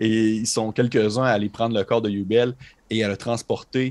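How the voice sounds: A man speaks at a fairly low pitch with little pitch movement and a slightly mellow tone.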